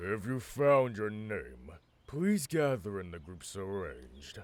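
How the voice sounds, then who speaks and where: A man uses a put-on character voice at a fairly low pitch. He speaks at a fairly slow pace. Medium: audio drama. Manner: formal, measured.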